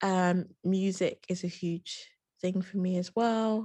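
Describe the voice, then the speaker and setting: Fairly even intonation and a medium pitch mark a woman's unremarkable speaking voice. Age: 30s. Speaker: psychotherapist. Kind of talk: interview.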